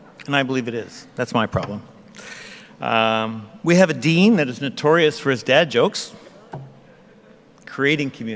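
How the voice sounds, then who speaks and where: Lively in intonation, a man with a medium-pitched voice talks at a moderate pace, leaving long, frequent pauses. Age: 60s. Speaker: convocation speaker. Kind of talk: convocation address.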